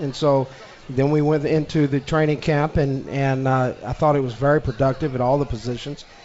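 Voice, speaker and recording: Over noticeable background noise, a man with a fairly high voice speaks at a moderate pace and with fairly even intonation. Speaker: special teams coach. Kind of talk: radio interview.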